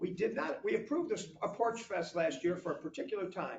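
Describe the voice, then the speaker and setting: A man speaks loudly at a very fast pace. His intonation is lively. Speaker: village board member. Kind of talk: heated debate.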